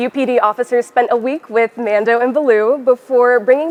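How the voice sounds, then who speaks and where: Recorded dry and close with no echo but with noticeable background noise, a woman speaks at a fairly quick pace in a high pitch with ordinary pitch variation. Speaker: broadcast news reporter / multimedia journalist. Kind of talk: news standups, reporter stand-up style. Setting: outdoors, on-location standups.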